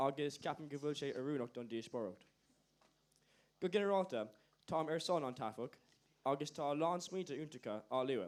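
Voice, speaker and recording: A man with an Irish accent speaks at a fairly high pitch. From Ireland. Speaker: youth assembly delegate. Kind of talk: formal debate speech.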